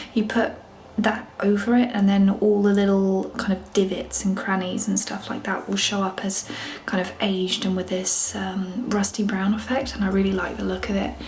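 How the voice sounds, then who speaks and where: A woman whispers at a moderate pace. Noticeable background noise and audible room echo fill the recording. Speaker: DIY home renovation vlogger. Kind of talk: casual DIY vlog narration. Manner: whispering.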